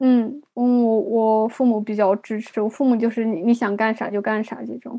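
A woman's fairly high voice, monotone and flat in intonation, at a moderate pace. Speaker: consultant living abroad. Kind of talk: interview.

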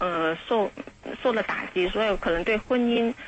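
Speaking in an unremarkable speaking voice, a woman of medium pitch goes at a fairly slow pace with ordinary pitch variation. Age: 40s. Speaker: radio call-in listener. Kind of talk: call-in conversation.

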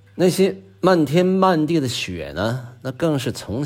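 A man speaks with vocal fry. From Northeast China. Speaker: podcast host. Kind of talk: scripted monologue. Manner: relaxed with frequent filler particles.

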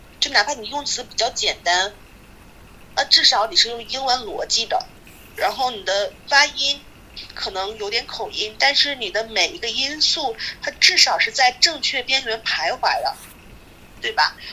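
Against noticeable background noise, a woman raises and projects her high voice at a moderate pace, her pitch swinging very widely. Her loudness rises and falls sharply, broken by long, frequent pauses. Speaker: children's English teacher. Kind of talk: casual chat.

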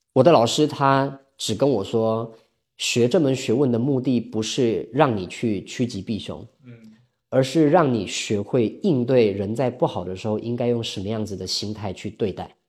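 On a very clean recording with a silent background, a man speaks at medium pitch and a moderate pace, with ordinary pitch variation and big swings in loudness. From Taiwan. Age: 30s. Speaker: sales coach and counselor. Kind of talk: interview.

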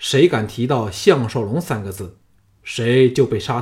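Here is a natural reading voice whose pitch moves in an ordinary way.

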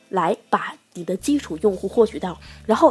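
A woman's animated voice at a medium pitch, with lively intonation, a moderate pace and noticeable background noise. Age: 20s. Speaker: podcast host on e-commerce. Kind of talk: casual solo podcast talk. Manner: animated, chatty with frequent laughs.

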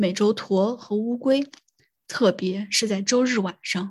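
Each word arrives at a very slow pace. No background sound at all mars this very clean recording. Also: woman. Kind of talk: reading aloud an essay from a book, literary audiobook style. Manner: measured, even and steady reading pace.

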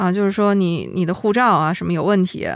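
A woman with a plain, everyday voice speaks at a fairly quick pace and medium pitch over a quiet background. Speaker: podcast host. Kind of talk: casual chat.

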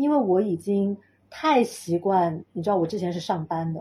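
At a moderate pace, a woman with a somewhat breathy, dark, mellow voice speaks in a very clean recording with a silent background. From Chengdu, Sichuan, China. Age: 30s. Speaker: sound healer and pilates teacher. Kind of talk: casual interview chat.

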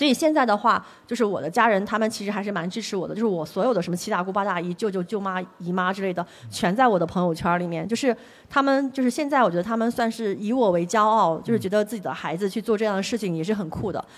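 A woman at a medium pitch, at a very fast pace. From Jiangsu, eastern China. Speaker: mountaineer and explorer. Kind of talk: onstage interview before live audience. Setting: bookstore stage with audience.

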